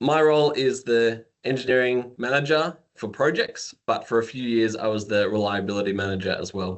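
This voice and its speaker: Barely pausing, a man with an Australian accent talks at a moderate pace in a medium pitch with ordinary pitch variation. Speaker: engineering manager. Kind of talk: podcast interview.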